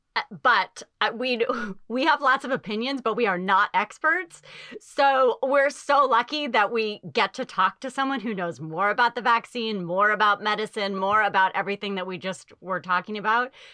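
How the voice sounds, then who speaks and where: A woman with an American accent talks at a moderate pace in a fairly high pitch, her bright, sharp tone carrying lively intonation over a dry, close sound with no echo. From suburbs of Boston. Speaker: podcast co-host, TV producer. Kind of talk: casual chat.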